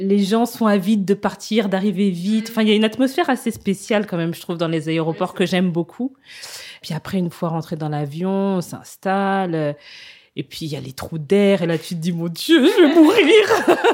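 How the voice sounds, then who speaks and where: A woman speaks at a medium pitch and moderate pace, with lively intonation and big swings in loudness. The recording is very clean, with a silent background. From Kinshasa, DR Congo. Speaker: travel entrepreneur. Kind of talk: interview. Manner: hesitant, many fillers.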